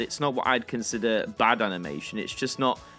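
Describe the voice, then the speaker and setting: Music plays in the background as a man speaks fairly quickly at a medium pitch. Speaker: YouTube presenter. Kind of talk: casual news commentary to camera.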